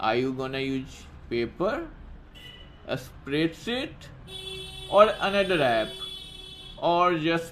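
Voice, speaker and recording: Noticeable background noise fills the clip. Through it, a man talks at a high pitch. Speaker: app tutorial presenter. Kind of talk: tutorial intro.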